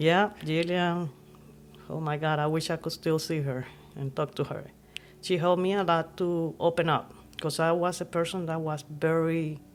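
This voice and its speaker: A woman speaks at a moderate pace in a fairly low pitch. Her intonation is monotone and flat. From Nicaragua, Masaya. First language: Spanish. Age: 50s. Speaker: podcast guest. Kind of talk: casual chat.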